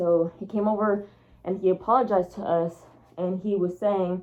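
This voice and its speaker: A woman's medium-pitched voice at a moderate pace. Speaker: furry storytime vlogger. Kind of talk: storytime monologue. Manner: animated.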